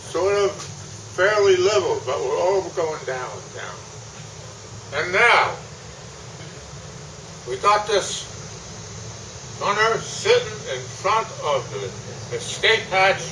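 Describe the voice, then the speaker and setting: Speaking at a very slow pace with long, frequent pauses, a man with an American accent is heard over noticeable background noise. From New Jersey. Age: 80s+. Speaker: war veteran. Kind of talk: war story told to an audience. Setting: public event with microphone.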